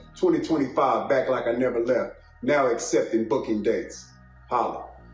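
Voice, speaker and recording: A man talks at a moderate tempo with music in the background. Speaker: recording artist.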